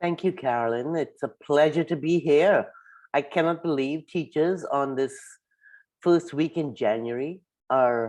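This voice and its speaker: In a quiet background, a woman speaks with a very deep, low pitch and ordinary pitch variation. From Trinidad. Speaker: founder of a climate education nonprofit, former science teacher and principal. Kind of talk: workshop talk.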